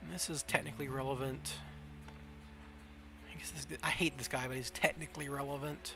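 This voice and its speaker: A man with an American accent speaks with big swings in loudness and long, frequent pauses. Noticeable background noise runs under his voice. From US South. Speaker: gaming streamer. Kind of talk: casual live-stream commentary. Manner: casual, thinking aloud.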